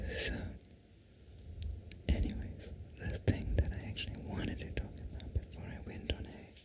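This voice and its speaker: Whispering at a moderate pace, a woman leaves long, frequent pauses, her loudness swinging widely against noticeable background noise. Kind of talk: ASMR whisper ramble about video game lore. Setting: microphone setup, close-mic recording. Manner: whispered, rambling, chatty.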